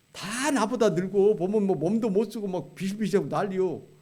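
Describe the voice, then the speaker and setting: A dark, mellow tone with audible room echo. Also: man. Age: 70s. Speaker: retired pastor, guest preacher. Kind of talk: sermon. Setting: church. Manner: conversational, colloquial.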